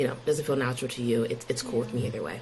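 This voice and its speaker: A woman with an American accent speaks with fairly even intonation. The recording has audible room echo and noticeable background noise. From Pennsylvania. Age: 20s. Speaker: podcast guest. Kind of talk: interview. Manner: casual.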